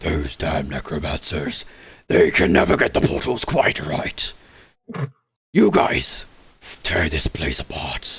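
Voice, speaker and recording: A man puts on a booming, raspy character voice with a very deep, low pitch, talking at a fairly slow pace with long, frequent pauses. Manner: commanding, contemptuous.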